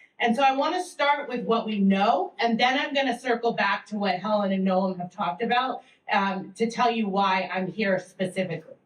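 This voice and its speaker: With an American accent, a woman talks at a moderate pace in a fairly high pitch, her intonation lively and her speech hardly pausing. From Massachusetts, US. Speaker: teacher and education researcher. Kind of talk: panel presentation. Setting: public library event with audience. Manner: loud.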